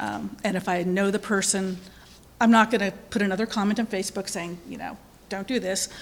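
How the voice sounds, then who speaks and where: At a fairly quick pace, a woman talks with a medium pitch. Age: 50s. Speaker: lay speaker at a congregation. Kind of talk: sermon. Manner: halting.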